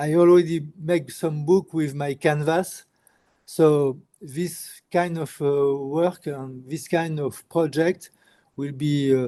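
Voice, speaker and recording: A man with a French accent, fairly high-pitched, in a dark, mellow tone, monotone and flat, at a very slow pace. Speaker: street artist. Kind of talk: interview. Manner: halting.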